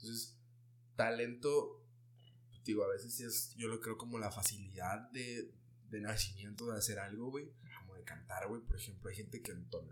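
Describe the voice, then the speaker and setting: There is audible room echo as a man speaks at a medium pitch. His intonation is fairly even, but his loudness swings widely. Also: moderate pace. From Mexico, Ciudad Juárez. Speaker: urban music artist. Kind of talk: casual chat.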